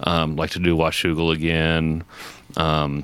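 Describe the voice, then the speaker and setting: Noticeable background noise fills the recording. Through it comes a man's very deep, low voice. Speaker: stand-up comic and filmmaker. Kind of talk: casual chat.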